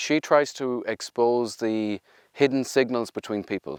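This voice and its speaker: On a very clean recording with a silent background and a dry, close sound with no echo, a man speaks in an Irish accent at a moderate pace and medium pitch. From Ireland. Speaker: research and innovation executive. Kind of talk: interview monologue.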